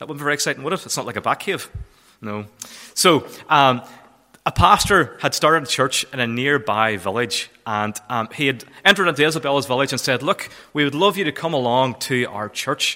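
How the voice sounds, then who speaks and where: With a Northern Irish accent, a man with a fairly high pitch and a bright, sharp tone talks at a fairly quick pace with lively intonation. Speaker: charity volunteer manager. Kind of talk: church talk. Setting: church.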